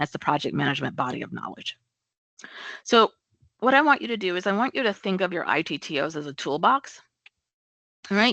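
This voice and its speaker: Against a quiet background, a woman at medium pitch talks at a fairly quick pace with vocal fry, a bright, sharp tone, very wide pitch swings and long, frequent pauses, the sound dry and close with no echo. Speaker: project management trainer. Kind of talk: webinar presentation.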